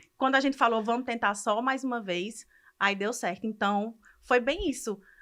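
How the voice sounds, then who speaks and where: A woman with a fairly high pitch speaks in a bright, sharp tone with ordinary pitch variation. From Brazil, Ceará. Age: 30s. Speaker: medical student. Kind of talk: podcast interview, personal story.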